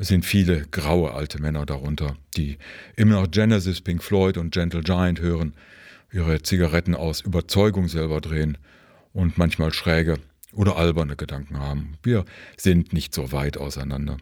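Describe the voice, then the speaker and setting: A man's very deep, low voice moves at a moderate speed with ordinary variation in pitch, captured in a very clean recording against a silent background. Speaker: book reviewer. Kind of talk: scripted narration.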